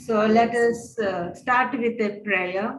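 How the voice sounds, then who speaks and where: With an Indian accent, a woman speaks amid audible room echo. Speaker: religious sister and spiritual director. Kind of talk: webinar presentation. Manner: slow.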